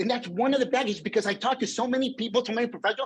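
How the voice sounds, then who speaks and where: The man's pitch is extremely high. His tone is animated. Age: 50s. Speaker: motivational speaker. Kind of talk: keynote talk.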